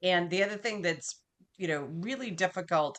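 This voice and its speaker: Over a quiet background, a woman with an American accent talks at a fairly quick pace. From US Northeast (Massachusetts). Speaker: business continuity professional. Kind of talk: interview. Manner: fast talker.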